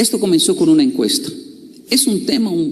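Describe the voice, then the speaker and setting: This man's voice sits at an extremely high pitch. His intonation is lively. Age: 30s. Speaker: motivational speaker. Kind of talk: motivational talk.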